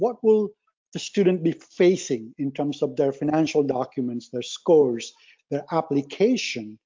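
A man talks in a normal speaking voice, fairly high in pitch. His pace is fairly slow and his intonation lively. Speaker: supply chain professor. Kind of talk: expert panel discussion. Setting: phone call.

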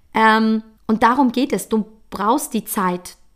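A woman is heard in a very clean recording against a silent background. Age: 40s. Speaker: podcast host, coach. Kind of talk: motivational monologue. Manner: casual, chatty.

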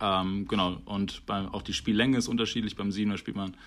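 A man at a fairly quick pace and fairly low pitch, in a very clean recording with a silent background. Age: 20s. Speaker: rugby player. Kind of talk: podcast interview. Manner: hesitant, many fillers.

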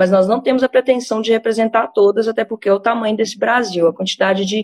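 Here is a woman with an unremarkable speaking voice and a fairly high pitch. She talks at a fairly quick pace with fairly even intonation. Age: 20s. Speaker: cannabis activist. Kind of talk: interview.

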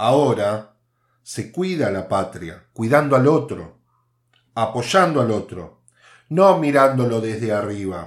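On a very clean recording with a silent background, a man at medium pitch speaks at a very slow pace with very wide pitch swings. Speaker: podcast host, political commentator. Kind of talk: opinion monologue.

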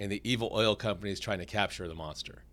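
The recording is very clean, with a silent background. A man with a plain, everyday voice speaks at a fairly low pitch with ordinary pitch variation. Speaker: city attorney and podcast co-host. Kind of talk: casual chat. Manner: joking.

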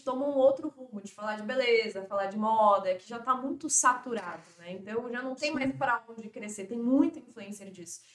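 Here a woman's voice sits fairly high. She speaks at a moderate pace with ordinary pitch variation. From Brazil, Florianópolis. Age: 20s. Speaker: financial influencer and former model. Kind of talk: casual podcast interview.

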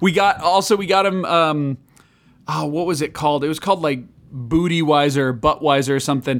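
With a normal speaking voice, a man speaks at a fairly high pitch and moderate pace, his pitch varying in an ordinary way on a very clean recording with a silent background. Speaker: podcast host. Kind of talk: casual chat. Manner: profane, casual.

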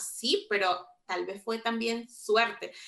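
Fairly high in pitch, a woman's voice has a bright, sharp tone and fairly even intonation. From Venezuela. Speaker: podcast co-host. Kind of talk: casual chat.

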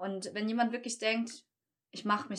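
The woman here speaks at a fairly slow pace. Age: 30s. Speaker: beautician and small business owner. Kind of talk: casual chat.

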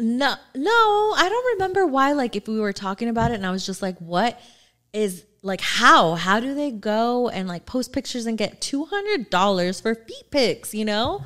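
Very wide pitch swings mark the fairly high-pitched speech of a woman. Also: moderate pace. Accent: American. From Southern California. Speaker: podcast co-host. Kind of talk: casual interview chat. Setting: studio.

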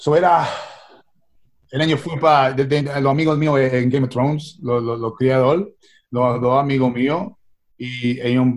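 With an English accent, a man of medium pitch talks at a fairly slow pace with ordinary pitch variation. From New York (Queens), Puerto Rican-Italian family. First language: English (speaking Spanish). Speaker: actor and musician. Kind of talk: interview. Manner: halting, frequent repetitions and English code-switching.

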